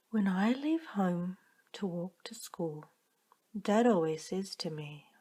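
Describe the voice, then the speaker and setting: A woman speaks at a very slow pace in a calm tone at medium pitch. Her voice is dark and mellow, and somewhat breathy. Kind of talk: bedtime story reading. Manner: calm, monotone.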